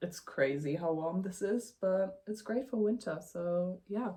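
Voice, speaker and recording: A woman speaks with a non-native accent. Her voice is somewhat breathy, and her pace is fairly slow. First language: not English. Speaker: knitting youtuber. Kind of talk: casual vlog chat. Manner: halting, many fillers.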